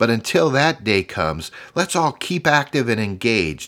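A man speaks slowly-ish, fairly slow in pace, with vocal fry and an upbeat tone. His pitch swings very widely in a very clean recording with a silent background. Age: 50s. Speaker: career podcast host. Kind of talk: solo podcast monologue, motivational. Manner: upbeat, encouraging.

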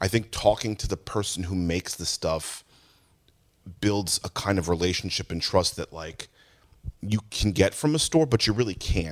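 In an American accent, a man talks at a moderate pace in an unremarkable speaking voice, his pitch fairly low with ordinary variation, on a very clean recording with a silent background and a dry, close sound with no echo. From New Jersey, Jackson (Ocean County). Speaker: music store owner. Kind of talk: casual chat. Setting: inside a music store.

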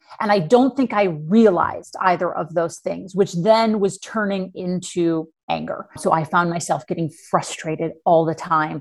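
A woman with an American accent has an ordinary speaking voice and a fairly low pitch. She talks at a moderate pace with ordinary pitch variation. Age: 40s. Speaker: life coach. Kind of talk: interview.

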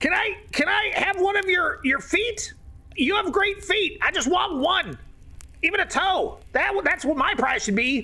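An extremely high-pitched put-on character voice at a fairly slow pace, with light background noise. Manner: eager, pleading, excited.

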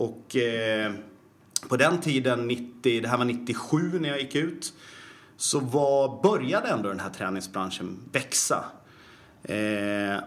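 Audible room echo surrounds a man of medium pitch who speaks at a very slow pace with lively intonation. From Sweden, Falun (Dalarna). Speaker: personal trainer and fitness educator. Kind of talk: casual interview.

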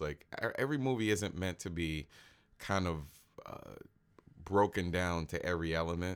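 At a moderate pace, a man talks in a very deep, low pitch on a very clean recording with a silent background. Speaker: podcast co-host. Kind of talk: casual chat.

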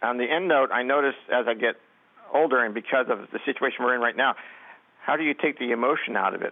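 At a very fast pace, a man talks in a medium pitch with very even loudness. His intonation is fairly even. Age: 70s. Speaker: radio caller, retiree. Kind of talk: phone-in question. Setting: phone call.

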